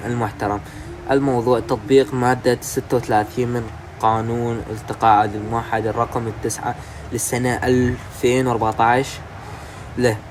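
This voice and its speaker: Monotone, flat intonation in an Iraqi accent. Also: man. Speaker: YouTuber explaining news. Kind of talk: casual news explainer. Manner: halting.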